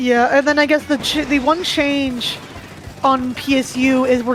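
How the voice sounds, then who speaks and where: Noticeable background noise runs under this clip. A woman speaks in a high pitch. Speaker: esports commentator. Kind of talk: live commentary. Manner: stutter; casual, hesitant with fillers.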